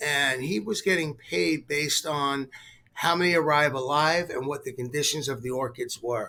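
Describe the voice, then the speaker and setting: With ordinary pitch variation and a moderate pace, the clip presents an unremarkable speaking voice. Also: man, fairly high pitch for a man. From US Northeast, New York City. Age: 60s. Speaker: company executive. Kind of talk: interview.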